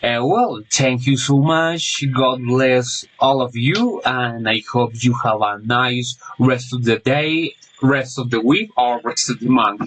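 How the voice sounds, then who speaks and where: A man with a Spanish accent at a very slow pace, medium pitch and ordinary pitch variation, amid noticeable background noise. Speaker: language student. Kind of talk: class assignment monologue. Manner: halting, many fillers.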